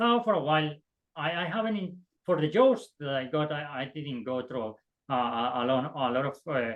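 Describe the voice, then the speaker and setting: The speaker talks at a fairly slow pace with a non-native accent. The pitch swings very widely. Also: man. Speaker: optics engineer, alumni panelist. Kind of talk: panel discussion. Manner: halting, many repetitions and fillers.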